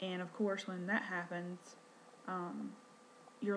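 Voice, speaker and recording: A woman speaks with a Southern US accent in a medium pitch, at a fairly slow pace. Her intonation is monotone and flat, and the room echo is audible. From North Carolina. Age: 30s. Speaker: vlogger, stay-at-home mom. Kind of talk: personal vlog introduction. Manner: hesitant, many fillers; quiet.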